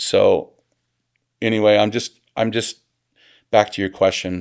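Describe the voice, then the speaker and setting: Someone with a Pacific Northwest accent speaks at a very slow pace, with long, frequent pauses. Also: man. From Portland, Oregon. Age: 40s. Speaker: restaurant business owner. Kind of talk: podcast interview. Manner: casual, filler-heavy.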